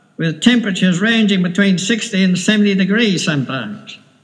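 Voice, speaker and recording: Audible room echo surrounds a man who talks with ordinary pitch variation. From Wales. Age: 70s. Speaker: retired whaler and storyteller. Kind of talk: personal recollection, home tape recording. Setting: home recording.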